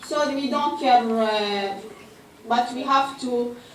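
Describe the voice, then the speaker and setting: A high-pitched woman's voice with an Arabic accent, audible room echo and noticeable background noise. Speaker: pharmacist, food safety speaker. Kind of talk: lecture. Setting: mosque conference with audience. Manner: halting, many hesitations.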